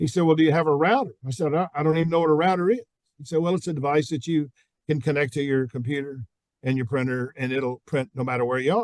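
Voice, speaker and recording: A man talks very fast at a fairly high pitch with ordinary variation. The sound is dry and close with no echo. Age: 70s. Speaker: sales expert and author. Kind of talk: Q&A talk to students. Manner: animated storytelling.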